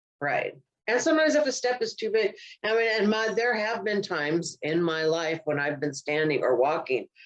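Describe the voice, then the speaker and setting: At a moderate pace, a woman is speaking. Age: 60s. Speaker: comedian and podcast co-host. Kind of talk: casual chat.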